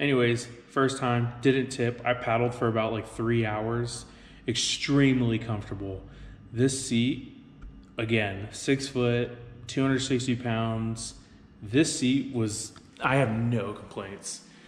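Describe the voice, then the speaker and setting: A man's very slow, monotone delivery with flat intonation, audible room echo and light background noise. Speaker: kayak owner reviewing gear. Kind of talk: casual vlog chat. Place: garage. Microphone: phone near.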